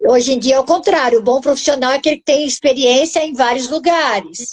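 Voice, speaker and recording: A woman speaks at a fairly quick pace, her pitch high. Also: ordinary pitch variation. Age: 60s. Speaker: housing researcher and author. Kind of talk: live-stream interview.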